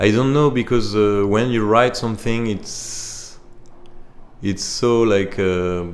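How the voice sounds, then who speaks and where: A man with a French accent speaks at a fairly low pitch and fairly slow pace, with fairly even intonation and audible room echo. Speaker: musician and composer. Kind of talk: interview. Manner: halting.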